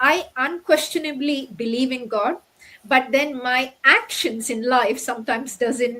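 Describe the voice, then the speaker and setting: A woman's high, raised and projected voice at a fairly slow pace. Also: ordinary pitch variation. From Middle East. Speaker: doctor turned online entrepreneur. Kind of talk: interview. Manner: halting.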